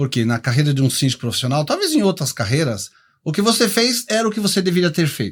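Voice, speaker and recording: Speaking at a very fast pace, a man lets his pitch swing very widely, heard on a very clean recording against a silent background. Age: 60s. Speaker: professional condo manager. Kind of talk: podcast interview.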